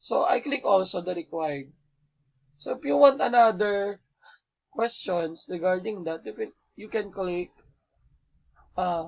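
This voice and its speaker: A man with a high pitch talks at a very slow pace, with long, frequent pauses. His intonation is lively. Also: big swings in loudness. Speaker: elementary school teacher. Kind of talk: tutorial.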